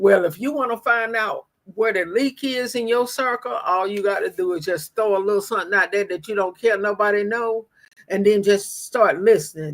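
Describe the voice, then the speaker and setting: Moderate-paced female speech with ordinary pitch variation. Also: medium pitch for a woman. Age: 60s. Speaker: livestream host. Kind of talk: live-stream talk to viewers. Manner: repetitive, emphatic.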